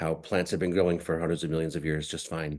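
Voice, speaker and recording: A man with an American accent talks at a very fast pace in a very deep, low, monotone voice with flat intonation. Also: quiet background. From Massachusetts, US. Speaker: nonprofit founder and farmer. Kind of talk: lecture. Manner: halting, many fillers.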